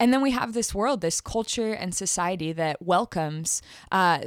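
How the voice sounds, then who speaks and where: In a very clean recording with a silent background, a woman with a Californian accent speaks at a moderate pace and a fairly low pitch. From US West Coast, East Bay (California). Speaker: youth ministry director. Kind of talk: casual podcast chat about faith.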